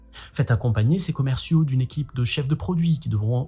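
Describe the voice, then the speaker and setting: A man talks at a medium pitch with ordinary pitch variation. His voice is somewhat breathy, with a dark, mellow tone. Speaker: marketing video blogger. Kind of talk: vlog-style talk to camera. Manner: fast; animated.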